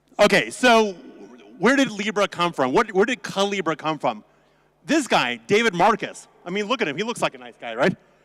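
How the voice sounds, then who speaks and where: With an American accent, a man talks at a high pitch with very wide pitch swings. His loudness swings a lot, and the sound is dry and close with no echo. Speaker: attorney, conference speaker. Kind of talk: conference talk. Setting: stage with audience. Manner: fast; animated, joking.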